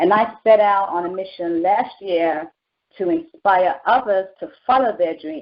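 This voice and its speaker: A woman with a British accent speaks at a fairly slow pace, her medium-pitched voice carrying lively intonation. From England, London. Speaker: talk show host, life coach. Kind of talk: motivational talk show intro. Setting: telephone talk show. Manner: animated.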